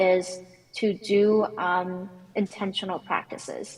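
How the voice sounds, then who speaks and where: A woman speaks with a non-native accent. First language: not English. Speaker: conference speaker, technical author. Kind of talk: panel Q&A answer. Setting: conference panel.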